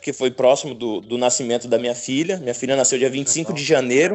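A man at a medium pitch and a fairly quick pace. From Paraná, Brazil (gaúcho family). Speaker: professional football goalkeeper. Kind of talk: casual interview chat. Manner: halting, many repetitions.

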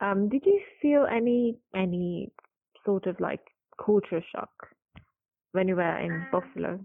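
Speaking with a Persian accent, a woman goes at a fairly slow pace with long, frequent pauses. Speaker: podcast host. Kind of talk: interview.

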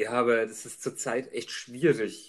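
A man speaks in a plain, everyday voice at medium pitch. His pace is fairly slow. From Upper Franconia, Germany. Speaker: podcast co-host. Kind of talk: casual chat.

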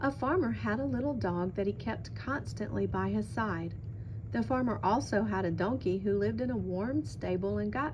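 A natural reading voice carries the words.

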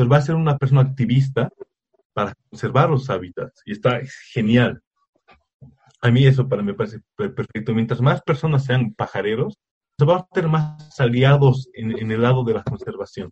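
A man talks at a moderate pace in a medium pitch that varies in an ordinary way. His voice is somewhat breathy, with a dry, close sound and no echo. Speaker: nature photographer. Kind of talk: casual interview. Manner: halting, frequent repetitions.

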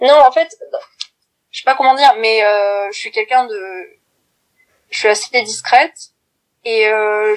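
A woman speaks at a fairly slow pace, her fairly high pitch moving with ordinary variation. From France, Corrèze (Brive-la-Gaillarde). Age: 20s. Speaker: documentary film actress and film student. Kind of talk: interview. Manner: halting.

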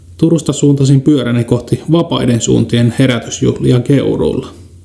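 Noticeable background noise sits behind a man talking at a moderate speed. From Kainuu, northern Finland. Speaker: podcast host. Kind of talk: scripted narration. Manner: formal.

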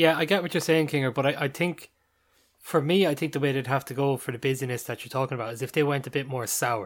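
A man speaks at a very fast pace in an Irish accent. His pitch is fairly high. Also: ordinary pitch variation, very clean recording, silent background. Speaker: podcast co-host. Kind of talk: casual chat.

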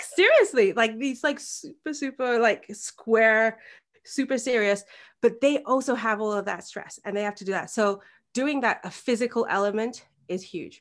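A woman with an English accent speaks at a moderate pace in a fairly high pitch. Her loudness swings widely over a quiet background. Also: ordinary pitch variation. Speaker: birth coach and hypnobirthing practitioner. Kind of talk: interview. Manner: halting, many repetitions and fillers; talkative.

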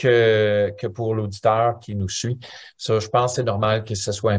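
A man with a plain, everyday voice speaks at a fairly low pitch and fairly slow pace. His intonation is fairly even, and the recording is very clean with a silent background. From Ontario, Canada (Franco-Ontarian). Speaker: musician. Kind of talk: interview.

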